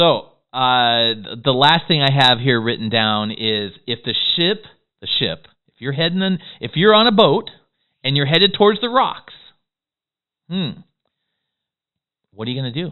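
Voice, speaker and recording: A man speaks in an animated tone at a moderate pace, his fairly high pitch making very wide swings. His loudness rises and falls sharply, broken by long, frequent pauses. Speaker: business coach. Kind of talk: tutorial.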